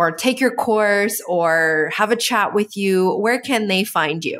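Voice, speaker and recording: Heard on a very clean recording with a silent background, a woman talks in a plain, everyday voice at medium pitch with ordinary pitch variation. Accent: Canadian. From Canada. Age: 30s. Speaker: podcast host. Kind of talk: interview.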